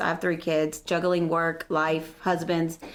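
A woman is heard over noticeable background noise. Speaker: craft maker. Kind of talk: casual chat. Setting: studio.

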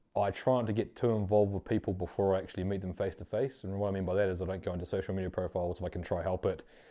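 Speaking very fast, a man uses a fairly low pitch in a New Zealand accent. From New Zealand, West Auckland. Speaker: podcast host. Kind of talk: casual interview. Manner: hesitant, many fillers.

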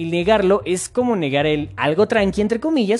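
Over noticeable background noise, a man with a high pitch speaks at a moderate pace, his pitch swinging very widely. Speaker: podcast host. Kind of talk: casual monologue.

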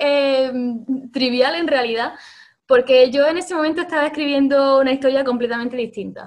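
A woman with a high pitch. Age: 20s. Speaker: illustrator and writer. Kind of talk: interview.

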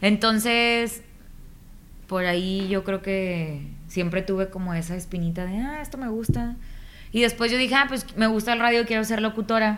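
With a northern Mexican accent, a woman talks at a moderate pace in a fairly high voice with ordinary pitch variation. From Mexico, Nuevo Laredo, Tamaulipas. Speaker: voice-over artist and radio announcer. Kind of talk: casual interview chat.

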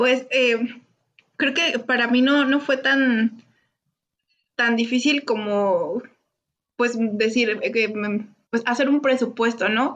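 This woman's voice is high-pitched and very even in loudness. She speaks at a very slow pace with long, frequent pauses. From León, Guanajuato, Mexico. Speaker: biologist, former graduate student. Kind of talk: casual chat. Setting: video call.

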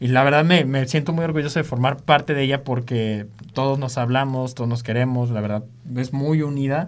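This man has an ordinary speaking voice, medium pitch and fairly even intonation. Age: 20s. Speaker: music producer and DJ. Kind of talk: casual interview.

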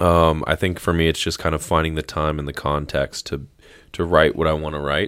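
On a very clean recording with a silent background, a man with a very deep, low voice talks at a very fast pace. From US South, northeast Florida. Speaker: former basketball player, photographer and musician. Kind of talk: casual chat.

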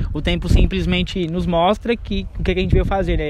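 Male speech at a fairly quick pace amid noticeable background noise. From São Paulo, Brazil. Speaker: podcast host. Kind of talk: casual chat. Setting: outdoors.

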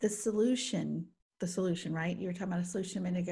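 A woman speaks at a medium pitch, her tone dark, mellow and somewhat breathy. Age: 40s. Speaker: podcast co-host. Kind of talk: casual chat.

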